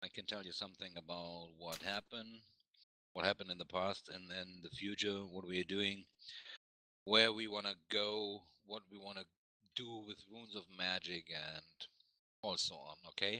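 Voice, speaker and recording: A German accent comes through in a bright, sharp tone with monotone, flat intonation. The moderate pace is broken by long, frequent pauses, and loudness swings widely. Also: man, fairly low pitch for a man. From Germany. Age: 40s. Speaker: game company representative. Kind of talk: meeting presentation.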